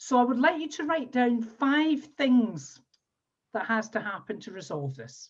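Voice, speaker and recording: With a Scottish accent, a woman talks at a moderate pace in a fairly high pitch, her intonation lively. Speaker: NLP trainer and coach. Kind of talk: webinar workshop instruction. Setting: video call.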